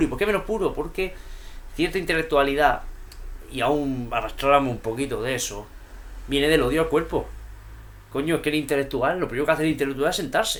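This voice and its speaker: With a Murcian accent, a man talks at a fairly quick pace in an animated tone. His pitch is fairly high, with ordinary variation. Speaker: YouTuber discussing poetry and philosophy. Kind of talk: vlog monologue.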